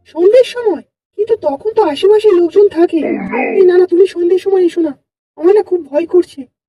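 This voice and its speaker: Putting on a cartoonish character voice, a woman speaks at an extremely high pitch and a fairly quick pace, with ordinary pitch variation. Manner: hesitant.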